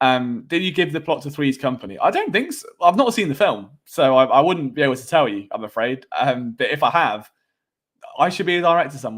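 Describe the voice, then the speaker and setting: With a British accent, a man speaks at a fairly quick pace in a fairly high voice with lively intonation. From England. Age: 20s. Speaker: sports podcaster. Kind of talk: live stream sports talk with chat. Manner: casual, conversational with fillers.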